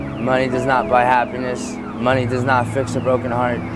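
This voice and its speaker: A man speaks at a moderate pace and a medium pitch, with audible room echo and noticeable background noise. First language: Romani. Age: 20s. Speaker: homeless man. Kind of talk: street interview.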